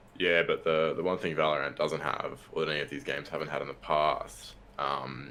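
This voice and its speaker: This man has an Australian accent and speaks rather fast. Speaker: podcast guest, gamer. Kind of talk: casual chat.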